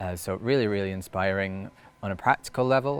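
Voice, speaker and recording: A man with a fairly low voice speaks at a fairly quick clip. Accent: Scottish. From Scotland. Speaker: storyteller. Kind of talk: interview answer. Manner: hesitant, reflective.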